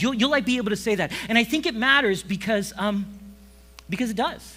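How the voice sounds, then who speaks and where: A man speaks in a raised, projected voice with an American accent. His pitch is high and his pace fairly quick. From Kansas and Romania, raised abroad as missionary kid. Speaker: pastor. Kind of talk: sermon. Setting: church service with audience. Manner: loud; casual, filler-heavy.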